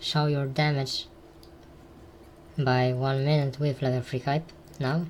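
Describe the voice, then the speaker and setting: The words come at a very slow pace. A non-native accent is present. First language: not English. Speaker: gaming guide creator. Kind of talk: tutorial. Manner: halting.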